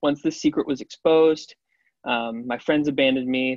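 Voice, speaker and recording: A man speaks with a Midwestern American accent. His medium-pitched voice keeps a fairly even intonation. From Ohio, Cincinnati area. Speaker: college student. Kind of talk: testimony.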